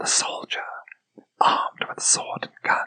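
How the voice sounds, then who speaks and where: Whispering at a very slow pace. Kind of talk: whispered poetry reading. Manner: whispered.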